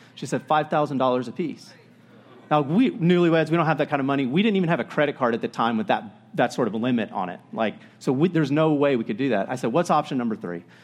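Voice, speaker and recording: A man speaks very fast at a fairly high pitch, his voice swinging very widely up and down. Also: quiet background. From Florida. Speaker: pastor. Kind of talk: sermon. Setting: church. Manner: casual.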